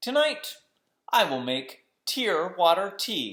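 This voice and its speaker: This put-on character voice sits at a middle pitch, swings very widely in pitch, and moves at a very slow pace. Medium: read story.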